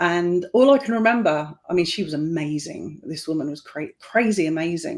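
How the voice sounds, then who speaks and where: Moderately paced female speech, fairly low in pitch, its pitch moving in an ordinary way. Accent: English. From England. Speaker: tarot reader. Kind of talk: casual interview chat. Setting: live online stream.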